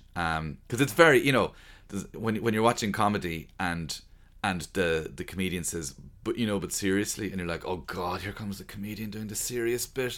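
This man has an Irish accent and a fairly low pitch, with a bright, sharp tone and lively intonation. He speaks at a moderate pace in a very clean recording with a silent background. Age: 40s. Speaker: stand-up comedian. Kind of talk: interview. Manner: halting.

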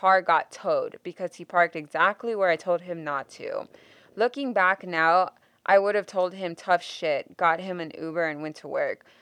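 In a dry, close recording with no echo and a quiet background, a woman with an ordinary speaking voice talks at a moderate pace and medium pitch, her intonation lively and her loudness swinging widely. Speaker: podcast host. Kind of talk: casual chat.

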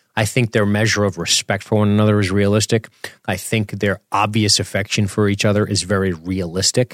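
A man speaks at a fairly quick pace in a fairly low pitch, his tone animated. His loudness stays very even throughout. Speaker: podcast host. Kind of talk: casual comedic banter, commentary. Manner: self-deprecating, irreverent, profane, animated.

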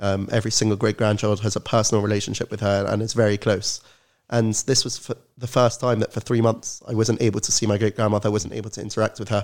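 In a London accent, a fairly low-voiced man talks at a very fast pace with monotone, flat intonation, on a very clean recording with a silent background. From London, England. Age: 19. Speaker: student and Holocaust educator. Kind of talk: podcast interview.

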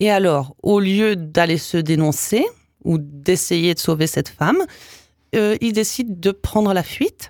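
A woman talks very slowly in a dry, close sound with no echo. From Canada (English Canada and Quebec). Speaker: author. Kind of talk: interview.

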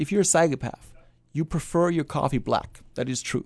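A voice with a German accent moves at a fairly quick pace with ordinary pitch variation over a quiet background. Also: man. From Germany. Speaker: psychology professor. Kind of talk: casual interview. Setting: studio.

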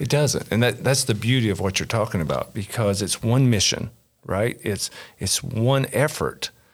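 With a Kentucky accent, a man speaks at a moderate pace in a somewhat breathy, medium-pitched voice with ordinary pitch variation. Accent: Kentucky Southern US. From Kentucky, rural south central. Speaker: pastor. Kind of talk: casual interview.

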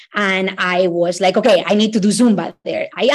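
With a Latin American accent, a woman speaks in an enthusiastic tone at a medium pitch, her pitch varying in an ordinary way against a quiet background. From Ecuador. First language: Spanish. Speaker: immigration lawyer. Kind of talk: casual interview chat. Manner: enthusiastic, friendly.

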